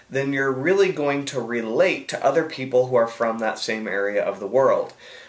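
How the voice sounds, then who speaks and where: With noticeable background noise, a man speaks in an American accent. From USA. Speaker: online marketing coach. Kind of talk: video Q&A answer. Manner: casual, many fillers and restarts.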